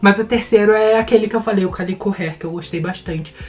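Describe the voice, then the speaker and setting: A woman is speaking at a fairly quick pace. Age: 20s. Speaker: beauty vlogger. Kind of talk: casual chat. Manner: animated.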